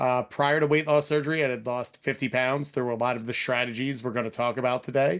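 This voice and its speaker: A man's unremarkable speaking voice with an American accent and fairly even intonation. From Philadelphia, US. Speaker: fitness and nutrition coach. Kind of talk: webinar presentation.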